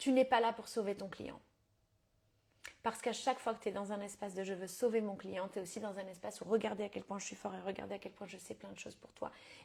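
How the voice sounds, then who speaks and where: Speaking at a fairly quick pace, a woman with a medium pitch and vocal fry keeps a monotone, flat intonation in a very clean recording with a silent background. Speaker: business coach. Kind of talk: live stream coaching talk. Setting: live stream. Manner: fast; casual with English code-switching.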